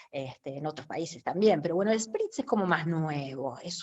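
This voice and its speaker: A woman's fairly low voice in a Rioplatense accent, with lively intonation. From Uruguay. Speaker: lecturer. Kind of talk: lecture.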